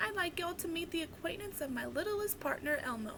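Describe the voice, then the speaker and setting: A squeaky, put-on character voice speaks at a fairly quick pace over loud background noise. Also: woman, extremely high pitch for a woman. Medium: read story. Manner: folksy, warm.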